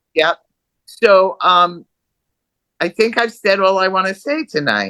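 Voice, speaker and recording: Her tone bright and sharp, a woman speaks at a medium pitch with ordinary pitch variation and a fairly slow pace, in a dry, close sound with no echo. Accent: American. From New York City area. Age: 70s. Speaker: artist. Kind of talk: interview.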